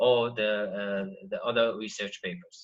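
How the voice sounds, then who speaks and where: A man's fairly slow speech with an Arabic accent and ordinary pitch variation. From Iraq. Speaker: PhD student presenter. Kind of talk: online workshop lecture. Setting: video call. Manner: halting, many fillers.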